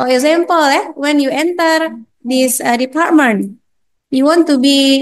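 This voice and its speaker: A woman speaks in an Indonesian accent with a high voice. Her pace is fairly slow and her pitch varies in an ordinary way. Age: 40s. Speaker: university lecturer. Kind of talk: lecture. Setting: classroom. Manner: halting.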